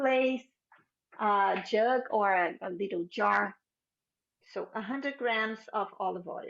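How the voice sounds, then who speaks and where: Pausing long and often at a very slow pace, a woman with a Brazilian accent talks in a fairly high pitch with ordinary pitch variation. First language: Portuguese. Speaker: cooking instructor. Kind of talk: cooking class tutorial.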